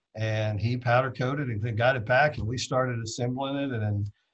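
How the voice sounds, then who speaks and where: A man talks with a somewhat breathy voice. His intonation stays fairly even. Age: 40s. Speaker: drag racer. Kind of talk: casual storytelling interview. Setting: live video stream.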